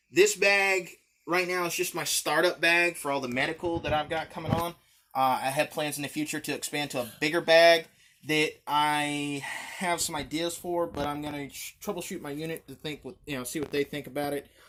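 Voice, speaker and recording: A man in a Southern US accent with a fairly high pitch, a bright, sharp tone and fairly even intonation. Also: very clean recording, silent background. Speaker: gear reviewer. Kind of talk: show-and-tell gear tutorial. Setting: home, filmed by his daughter. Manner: fast; hesitant, many fillers.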